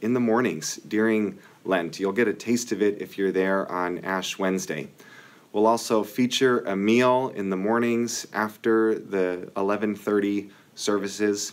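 Fairly slow, fairly low-pitched male speech with ordinary pitch variation. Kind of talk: announcements. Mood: friendly, upbeat.

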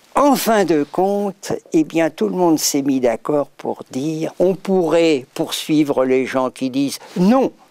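The sound here is dry, free of echo. A man talks very slowly. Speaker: interviewee. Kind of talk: interview answer. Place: stage.

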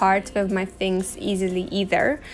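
Light background noise behind a woman speaking. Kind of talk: casual vlog chat. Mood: thoughtful, calm. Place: home room.

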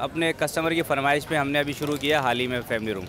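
The background noise is noticeable. The sound itself is dry, with no echo. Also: man. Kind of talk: interview answer. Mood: proud, promotional. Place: street. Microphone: lapel.

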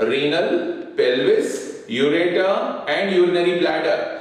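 Strong room echo surrounds a man speaking at a fairly slow pace. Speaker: teacher. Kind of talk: lecture. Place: classroom.

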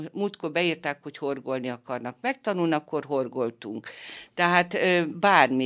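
A woman's very deep, low voice with lively intonation at a fairly slow pace, on a very clean recording with a silent background. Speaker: foundation creative leader, cancer survivor. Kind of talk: interview. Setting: studio.

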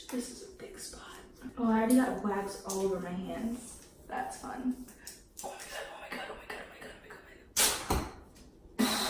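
A woman speaks amid loud background noise. The room echo is audible. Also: fairly quick pace. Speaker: vlogger. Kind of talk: casual vlog chat. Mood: nervous, anxious, laughing. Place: bathroom. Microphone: camera far.

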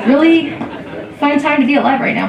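A woman at a very fast pace, with audible room echo and light background noise. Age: 40s. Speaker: comedian. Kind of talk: stand-up comedy, a beginner's first five-minute club set of self-deprecating jokes. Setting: stage with audience at a comedy club. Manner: slightly halting, frequent ums and uhs between bits. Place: stage.

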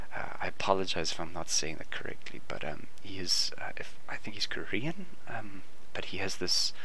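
The speaker whispers at a fairly slow pace. Noticeable background noise runs behind the voice. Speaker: artist. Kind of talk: casual sketching talk to camera. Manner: whispered.

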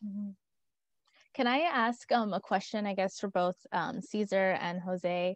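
Against a quiet background with a dry sound and no echo, a woman speaks at a fairly slow pace in a medium pitch with ordinary pitch variation. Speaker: program manager. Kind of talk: webinar Q&A. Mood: friendly, smiling. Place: home room. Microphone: earbuds.

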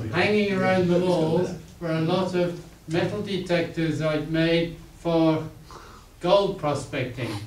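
With audible room echo and light background noise, a man speaks at a fairly slow pace in a high voice with ordinary pitch variation. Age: 80s+. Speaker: inventor. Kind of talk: talk at a club meeting. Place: meeting room. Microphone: camera far.

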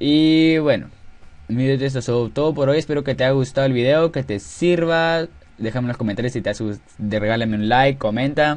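Music plays in the background. The speaker talks at a moderate pace with ordinary pitch variation. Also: man, medium pitch for a man. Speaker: gaming tutorial youtuber. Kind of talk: tutorial. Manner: hesitant, filler-heavy.

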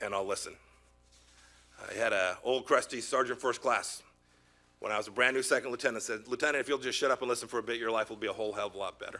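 Over background music, a man speaks at a very fast pace broken by long, frequent pauses. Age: 50s. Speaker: secretary of state nominee. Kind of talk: opening statement at a Senate confirmation hearing.

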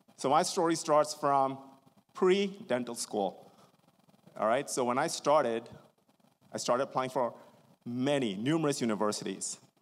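A man with a fairly high voice speaks at a moderate pace in an animated tone, his lively intonation broken by long, frequent pauses. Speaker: dentist and practice co-founder. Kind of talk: seminar presentation. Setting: stage with audience.

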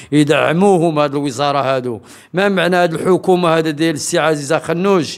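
With fairly even intonation, a man talks at a moderate pace over a quiet background. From Morocco. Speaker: human rights association member; interviewee. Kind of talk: public statement. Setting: event in Agadir. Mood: earnest, complaining about lack of support. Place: home room. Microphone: handheld.

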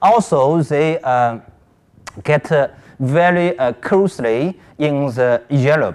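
In a Chinese accent, a man with a fairly high pitch talks at a very slow pace, with long, frequent pauses, very even loudness and ordinary pitch variation. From China. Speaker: academic conference presenter; conference presenter. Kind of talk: conference presentation. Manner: halting, many fillers. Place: hall.

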